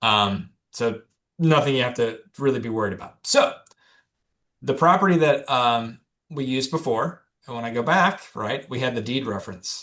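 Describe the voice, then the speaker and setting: Bright, sharp tone at a moderate pace, with ordinary pitch variation and long, frequent pauses. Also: man, medium pitch for a man. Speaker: title company presenter. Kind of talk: webinar presentation.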